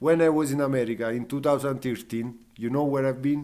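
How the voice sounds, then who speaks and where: With an Italian accent, a man talks at a fairly high pitch with ordinary pitch variation. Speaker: fire performer. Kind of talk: casual chat. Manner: halting.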